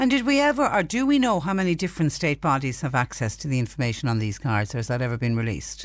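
With an Irish accent, a woman speaks at a very fast pace. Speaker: radio phone-in host. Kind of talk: radio phone-in show. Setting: radio studio.

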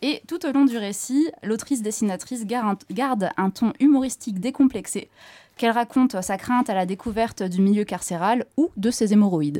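A woman's fairly high, dark and mellow voice with lively intonation at a moderate pace, dry and close with no echo on a very clean recording with a silent background. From northern France or Belgium. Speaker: comics columnist, bookseller. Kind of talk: scripted review reading.

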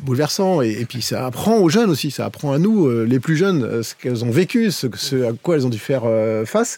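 A man with a fairly high pitch talks at a fairly quick pace, his pitch swinging very widely. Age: 50s. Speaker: HR director. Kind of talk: casual chat.

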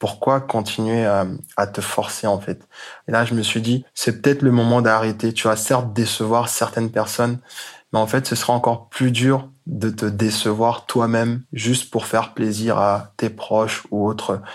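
A man talks at medium pitch and a fairly slow pace. His intonation is monotone and flat. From Côte d'Ivoire. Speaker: sneaker entrepreneur. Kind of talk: interview.

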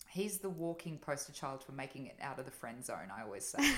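A woman's fairly low voice with vocal fry and very wide pitch swings. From Italy, moved to Australia at 9. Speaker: podcast guest, mother. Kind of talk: casual chat. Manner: animated.

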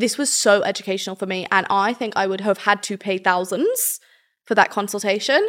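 On a very clean recording with a silent background, a woman with a fairly high voice speaks at a moderate pace in an ordinary speaking voice. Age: 20s. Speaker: podcast host. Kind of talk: scripted narration; interview.

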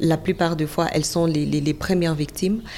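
A woman's fairly low-pitched voice in monotone, flat intonation. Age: 20s. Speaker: journalist. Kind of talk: interview.

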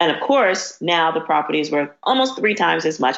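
A woman talks at a fairly low pitch. Her intonation is lively. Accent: New York. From New York, South Bronx. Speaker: real estate developer and urban revitalization strategist. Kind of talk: interview conversation.

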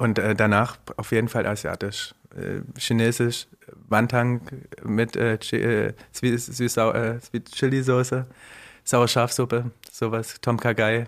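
A man's medium-pitched, monotone voice at a very slow pace, with long, frequent pauses, flat intonation and very even loudness. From Saxony, Riesa. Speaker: chef. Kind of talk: casual chat. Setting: studio.

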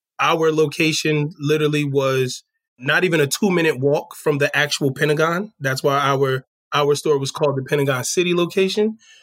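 A man with an American accent uses an ordinary speaking voice, fairly high in pitch, at a moderate pace with ordinary pitch variation and very even loudness. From New Jersey. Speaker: retail store manager. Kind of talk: interview.

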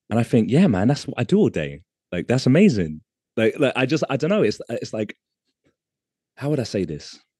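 A man with vocal fry talks at a fairly quick pace and medium pitch, with a dry, close sound and no echo. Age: 30s. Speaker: artist and street dancer. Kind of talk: casual interview chat.

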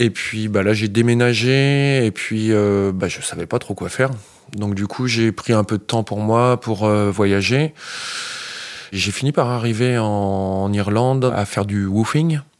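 At a fairly slow pace, a man speaks with a fairly low pitch and fairly even intonation. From France, Essonne (Île-de-France). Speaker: organic farmer. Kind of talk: interview. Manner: halting.

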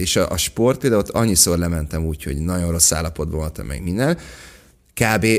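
The voice races along at a very fast pace with lively intonation. Vocal fry shows up in it. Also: man. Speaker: actor. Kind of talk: casual chat.

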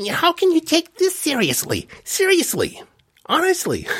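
Pitched extremely high, a put-on character voice talks at a moderate pace. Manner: mocking, incredulous.

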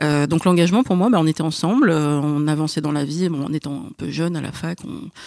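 An unremarkable speaking voice talks at a fairly quick pace, with dry, close sound, no echo, and a very clean recording over a silent background. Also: woman. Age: 30s. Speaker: podcast guest. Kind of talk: casual chat.

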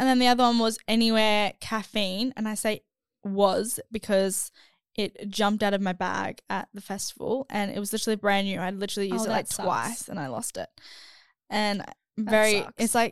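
In a very clean recording with a silent background and a dry, close sound with no echo, a woman speaks at a moderate pace and a fairly high pitch. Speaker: podcast co-host.

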